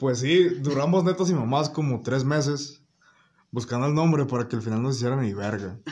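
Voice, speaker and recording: A man's somewhat breathy voice at medium pitch. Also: ordinary pitch variation, moderate pace. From Mexico, León, Guanajuato. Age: 19. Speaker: podcast guest. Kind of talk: casual chat. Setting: at a friend's home.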